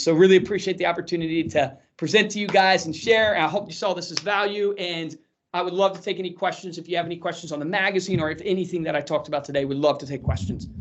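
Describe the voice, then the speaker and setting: A man's high-pitched voice at a very fast pace, with fairly even intonation. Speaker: marketing company presenter and podcaster. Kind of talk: webinar presentation. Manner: high energy.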